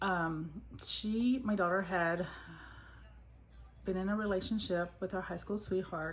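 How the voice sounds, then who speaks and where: Whispering with an American accent, a woman sounds somewhat breathy, moving at a fairly slow pace with long, frequent pauses. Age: 50s. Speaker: budgeting vlogger. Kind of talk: casual vlog talk.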